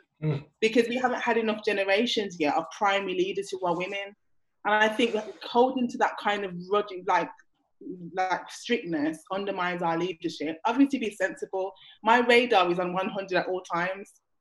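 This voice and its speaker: This woman has an ordinary speaking voice at a medium pitch. She speaks at a moderate pace with ordinary pitch variation. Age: 30s. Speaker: panelist, church member. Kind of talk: panel discussion, casual chat.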